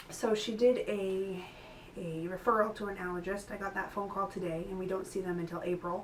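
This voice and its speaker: A woman with a medium pitch keeps a moderate pace while noticeable background noise continues around her. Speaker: mother vlogging about her child's illness. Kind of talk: casual vlog update. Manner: conversational with many fillers.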